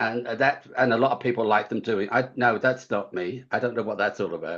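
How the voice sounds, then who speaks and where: Speaking at a moderate pace, a man with an English accent uses a medium pitch and fairly even intonation. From England. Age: 70s. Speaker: author. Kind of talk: interview. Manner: halting.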